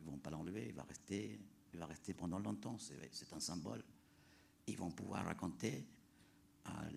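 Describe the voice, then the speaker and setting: This man has a very deep, low voice with vocal fry. His intonation is lively and his pace moderate. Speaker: leader of an international youth climate education project. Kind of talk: panel talk. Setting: planetarium with audience.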